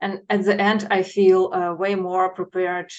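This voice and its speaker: Fairly slow speech from a woman with a non-native accent. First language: not English. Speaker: project management professional. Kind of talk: short expert talk. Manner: halting, many fillers.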